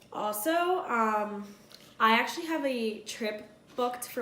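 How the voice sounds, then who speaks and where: Audible room echo surrounds the voice. The intonation is lively. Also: woman. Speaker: beauty youtuber. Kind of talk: product review vlog. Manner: casual, filler-heavy.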